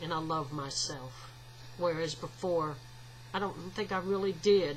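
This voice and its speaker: This woman speaks with a Southern US accent and lively intonation. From US South. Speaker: video blogger. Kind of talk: casual vlog monologue. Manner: halting, with frequent fillers.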